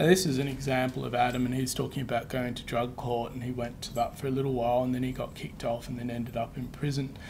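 A man with an Australian accent rattles along at a very fast pace with hardly any pauses, monotone, flat intonation, and light background noise. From Western Australia. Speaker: presenter. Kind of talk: presentation; answering audience questions. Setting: webinar with live room audience. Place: meeting room.

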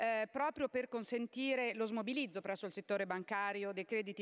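The speaker is a woman whose voice sits fairly high. Her pitch moves in an ordinary way. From Italy. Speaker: member of parliament. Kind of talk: parliament oratory, formal reply to a minister during question time. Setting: parliament chamber. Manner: emphatic, pressing the minister on closing businesses. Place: hall. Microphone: podium.

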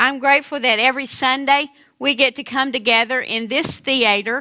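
A woman's high, bright and sharp voice at a moderate pace, over a quiet background. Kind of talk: sermon. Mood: warm, grateful, lightly humorous. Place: stage.

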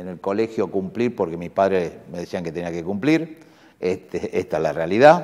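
There is a man with a very deep, low pitch and lively intonation. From Buenos Aires, Argentina; Argentina. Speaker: university rector; interviewee. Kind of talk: interview. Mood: warm, reflective, nostalgic. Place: office. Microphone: lapel.

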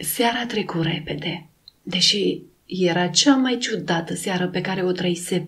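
An unforced reading voice with the usual amount of pitch movement

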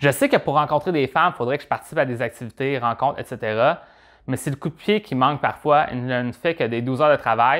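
With a Quebec accent, a man speaks at a fairly high pitch and a fairly quick pace. His pitch variation is ordinary, and the background is quiet. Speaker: dating advice vlogger. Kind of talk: advice monologue, answering viewer question. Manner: casual, conversational, with filler words. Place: studio. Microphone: lapel.

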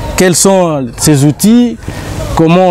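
The speech moves at a very slow pace over light background noise. The sound is dry, with no echo. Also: man. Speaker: TV show host. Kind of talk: TV show introduction. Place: garden.

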